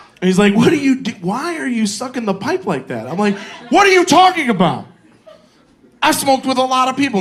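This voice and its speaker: A man talking at a fairly quick pace with very wide pitch swings, amid noticeable background noise. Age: 40s. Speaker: comedian. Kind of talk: stand-up. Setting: stage with audience. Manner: animated.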